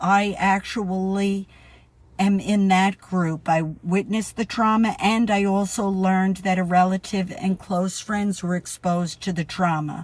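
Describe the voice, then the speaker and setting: A woman with a New York accent speaks at a fairly slow pace in a somewhat breathy voice of medium pitch, her intonation monotone and flat, the recording very clean over a silent background. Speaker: podcast host. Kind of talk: educational podcast monologue.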